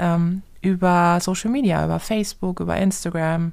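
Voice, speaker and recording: The recording is very clean, with a silent background. A woman with an ordinary speaking voice talks at a fairly low pitch with fairly even intonation. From southern Germany, Karlsruhe. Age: 30s. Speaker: entrepreneur. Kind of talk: interview answers for children. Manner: simple, friendly explanations.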